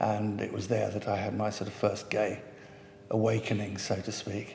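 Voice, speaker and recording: In a London accent, a man with a fairly low voice speaks in a monotone, flat intonation at a moderate pace, with audible room echo and noticeable background noise. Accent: southern English, educated London. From North London, England. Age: 70s. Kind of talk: oral history interview. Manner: halting, with many fillers and repetitions.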